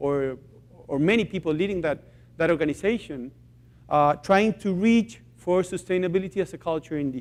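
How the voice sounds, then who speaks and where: A man's high-pitched voice with lively intonation and a Spanish accent. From Chile. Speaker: social enterprise founder. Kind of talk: conference talk. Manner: halting.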